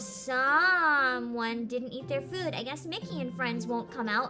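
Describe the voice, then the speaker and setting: A woman's put-on character voice, fairly high in pitch and fairly slow, with clear music in the background. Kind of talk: patronizing, sing-song. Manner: condescending.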